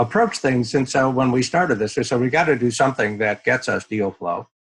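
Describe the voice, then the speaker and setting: A man's ordinary speaking voice at a medium pitch, with ordinary pitch variation and a fairly quick pace. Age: 60s. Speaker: venture capital investor. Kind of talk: interview.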